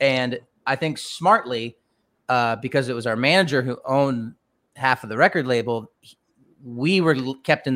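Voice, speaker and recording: A man's medium-pitched voice at a moderate pace, with ordinary pitch variation and an American accent. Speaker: rock band frontman. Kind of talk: casual interview chat. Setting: video call from his garage.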